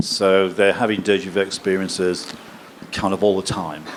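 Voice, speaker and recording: Speech at a moderate pace comes through over noticeable background noise. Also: man. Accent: English. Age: 60s. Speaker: professor. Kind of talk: lecture Q&A. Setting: stage with audience.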